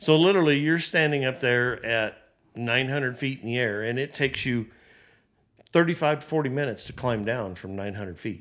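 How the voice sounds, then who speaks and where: Lively in intonation, a man with a plain, everyday voice and medium pitch talks at a fairly quick pace on a very clean recording with a silent background. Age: 60s. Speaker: business owner. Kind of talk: casual chat.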